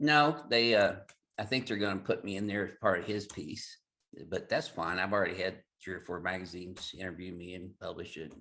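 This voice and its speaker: A fairly low-pitched man with a Southern accent, bright and sharp in tone, fairly quick, with ordinary pitch variation and big swings in loudness. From Southern Illinois. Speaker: chiropractor. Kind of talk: interview.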